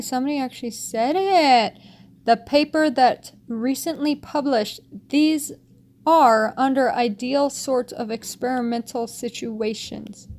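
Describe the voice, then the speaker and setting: A woman speaks with a high voice. Her pitch varies in an ordinary way. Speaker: vlogger commenting on news articles. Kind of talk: reading aloud articles with commentary. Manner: stuttering at times.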